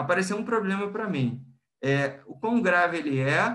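A man talks with a Brazilian accent at a fairly slow pace. His tone is bright and sharp, with ordinary pitch variation. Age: 20s. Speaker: industrial plant manager. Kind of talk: interview.

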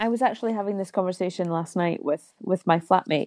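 Dry and close with no echo, the recording has a woman speaking with a Scottish Highland accent. Her pitch is fairly low, with ordinary variation. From Scotland, Isle of Mull. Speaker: singer and cabaret artist. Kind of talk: casual interview chat.

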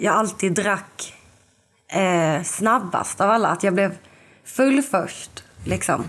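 The speaker is a woman. Her voice is at a medium pitch. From southern Sweden, Lund. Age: 20s. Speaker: podcast guest, recovering alcoholic. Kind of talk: casual interview, personal testimony.

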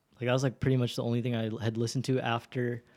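On a very clean recording with a silent background, a man speaks at a medium pitch with monotone, flat intonation. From immigrant who moved to the US (Los Angeles) at age six. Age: 20s. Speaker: musician. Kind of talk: casual chat.

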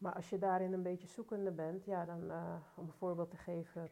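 A woman speaks in a monotone, flat way, her tone dark and mellow and her pitch fairly low. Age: 40s. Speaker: youth care and education worker. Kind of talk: casual chat.

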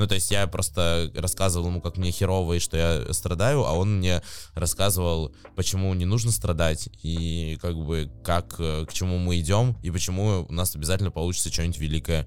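Here a man talks at a moderate pace. His very deep, low voice shows ordinary pitch variation. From Novosibirsk, Siberia, Russia. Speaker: advertising agency executive. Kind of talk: casual interview chat.

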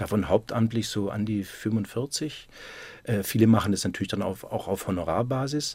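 A man talks in a normal speaking voice at a moderate pace, with a fairly low pitch and ordinary pitch variation. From Württemberg, near Stuttgart. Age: 50s. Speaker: basketball club manager. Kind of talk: radio interview.

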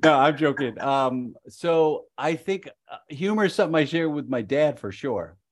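A man with fairly high pitch and an American accent speaks at a moderate pace with hardly any pauses. He has a normal speaking voice, ordinary pitch variation, and a quiet background. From Chicago suburbs. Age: 50s. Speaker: improviser and improv coach. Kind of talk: casual interview.

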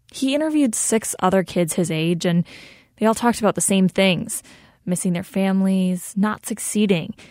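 A woman at medium pitch and moderate pace in a normal speaking voice, with ordinary pitch variation and a dry, close sound with no echo, in a very clean recording with a silent background. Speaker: radio producer and co-host. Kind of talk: radio narration and interview.

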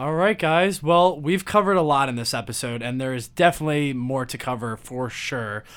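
A plain, everyday voice moves at a fairly quick pace. The intonation is lively. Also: man, fairly high pitch for a man. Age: 20s. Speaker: podcast host. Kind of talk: casual chat.

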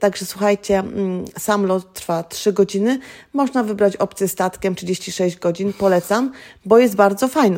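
A woman speaks fairly slowly at a medium pitch, with ordinary pitch variation. Hers is an unremarkable speaking voice. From Greater Poland, Poland. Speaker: educator living abroad. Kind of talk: casual interview. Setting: at her home.

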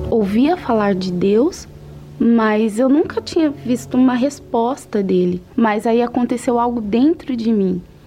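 Lively intonation comes through at a fairly slow pace over noticeable background noise. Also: woman, fairly high pitch for a woman. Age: 40s. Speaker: administrative assistant giving faith testimony. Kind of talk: testimony.

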